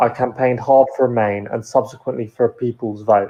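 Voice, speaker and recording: This man speaks at a moderate pace and a medium pitch. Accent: British. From UK, Cypriot family. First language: Greek. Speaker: panel speaker. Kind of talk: prepared speech.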